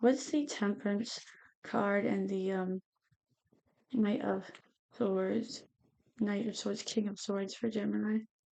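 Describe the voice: The speech comes at a slow pace with long, frequent pauses, a dark, mellow tone, vocal fry and fairly even intonation. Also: woman, medium pitch for a woman.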